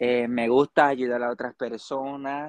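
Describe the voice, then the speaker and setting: A man's medium-pitched voice comes across monotone and flat, the sound dry and close with no echo. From Puerto Rico. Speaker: church youth member. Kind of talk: casual interview. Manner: halting.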